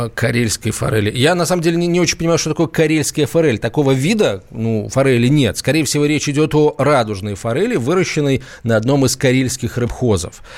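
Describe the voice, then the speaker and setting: Animated and fairly quick, a man with a medium-pitched voice speaks with lively intonation. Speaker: radio host. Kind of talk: live radio talk show. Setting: studio.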